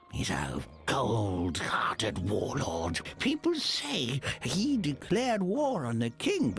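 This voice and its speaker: A put-on character voice speaks at a very slow pace. Background noise is clearly heard. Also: man. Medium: machinima. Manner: rambling, hesitant, chuckling.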